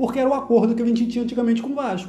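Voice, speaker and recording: There is an animated tone to this man's speech. Audible room echo and noticeable background noise fill the recording. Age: 50s. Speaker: football podcast host. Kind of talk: casual chat.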